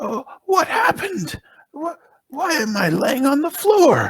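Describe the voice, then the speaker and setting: The speaker puts on a character voice, pitched high and delivered fairly slowly. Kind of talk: tabletop roleplaying. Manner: confused, bewildered.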